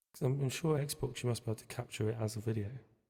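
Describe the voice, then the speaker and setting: The soft-spoken voice races along at a very fast pace, somewhat breathy and dark, mellow in tone, its intonation fairly even. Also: man. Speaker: music producer streaming a session. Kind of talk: casual chat while making music.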